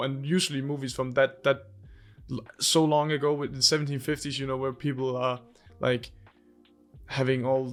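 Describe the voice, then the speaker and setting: The voice has a Danish accent and monotone, flat intonation. Music plays in the background. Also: man. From Denmark. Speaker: movie and game reviewer. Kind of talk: casual review monologue. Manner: halting, many fillers and repeats.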